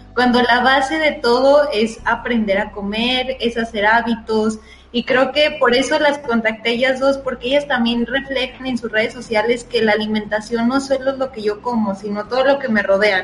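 The speech moves at a moderate pace with hardly any pauses and fairly even intonation. Noticeable background noise is present. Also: woman, high pitch for a woman. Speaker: nutritionist podcast co-host. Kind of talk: casual chat.

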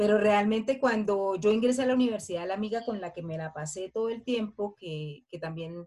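An ordinary speaking voice from a woman, medium in pitch with ordinary pitch variation, at a moderate pace. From Colombia. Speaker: podcast co-host. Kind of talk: casual chat.

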